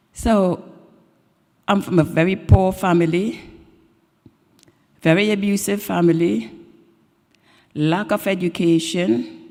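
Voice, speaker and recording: A woman's fairly low, dark and mellow voice moves with lively intonation. She goes at a fairly slow pace with long, frequent pauses. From Trinidad. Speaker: guest preacher. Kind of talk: sermon. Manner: personal storytelling.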